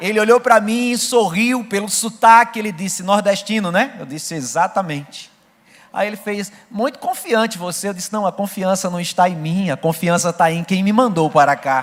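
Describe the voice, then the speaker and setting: Over noticeable background noise, a man speaks at a moderate pace in a high pitch with ordinary pitch variation. His loudness swings widely. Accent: northeastern Brazilian. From Brazilian Northeast, Rio Grande do Norte. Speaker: missionary preacher. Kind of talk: sermon with personal testimony. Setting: church service.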